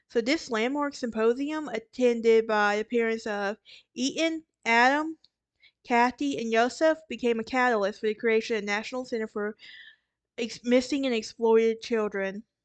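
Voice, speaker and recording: In a Southern US accent, a woman talks at a moderate pace with a fairly high pitch and ordinary pitch variation, recorded dry and close with no echo against a quiet background. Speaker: true crime podcaster. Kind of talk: casual narration. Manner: halting, with fillers and self-corrections.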